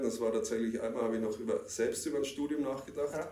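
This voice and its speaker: There is audible room echo around this man, whose fairly high voice keeps a fairly even intonation. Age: 50s. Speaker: security professional. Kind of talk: interview.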